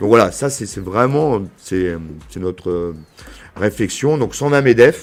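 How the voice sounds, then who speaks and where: Speaking in a southern French accent, a man uses a fairly low pitch, lively intonation and big swings in loudness. His pace is very slow, with long, frequent pauses. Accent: southern French accent, cultivated. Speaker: business association director. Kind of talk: podcast interview. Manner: hesitant, many fillers.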